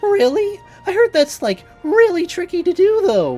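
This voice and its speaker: A squeaky, put-on character voice moves at a moderate pace. Faint music plays in the background. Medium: solo performance. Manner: drawling, slangy.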